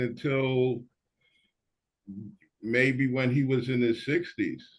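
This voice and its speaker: Very slowly and with monotone, flat intonation, a man speaks at a medium pitch with a New York accent. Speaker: panelist. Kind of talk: panel discussion.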